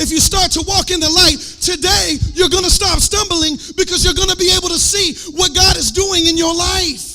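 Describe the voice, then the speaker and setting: A man with an American accent projects a raised voice at an extremely high pitch. His pace is moderate and his pitch variation ordinary, with noticeable background noise. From US South. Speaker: worship leader and preacher. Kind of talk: sermon. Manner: animated.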